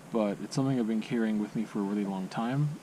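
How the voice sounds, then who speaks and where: A quiet man's voice over noticeable background noise. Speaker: vlogger. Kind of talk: personal vlog monologue. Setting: outdoors at a campsite. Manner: quiet, low voice; halting, hesitant.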